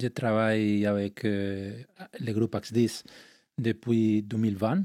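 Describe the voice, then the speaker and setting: A man with a Spanish accent talks very slowly at medium pitch in a dark, mellow tone. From Spain. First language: Spanish (speaking French). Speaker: energy company executive. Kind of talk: interview. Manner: halting.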